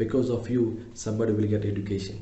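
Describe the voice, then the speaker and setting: Audible room echo surrounds a man speaking fairly quickly at a fairly low pitch in a monotone, flat way. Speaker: English teacher. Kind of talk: lecture.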